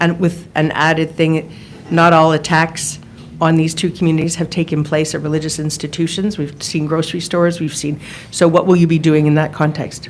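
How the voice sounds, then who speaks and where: Amid audible room echo, a woman with a very deep, low pitch speaks fairly quickly in a flat monotone. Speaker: journalist. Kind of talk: press conference questions. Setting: press conference.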